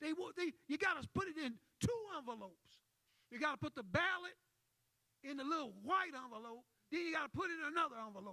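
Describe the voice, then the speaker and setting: A man's extremely high, bright and sharp voice, raised and projected, animated and very fast, with very wide pitch swings and long, frequent pauses. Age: 70s. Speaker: civil rights activist. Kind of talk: panel discussion.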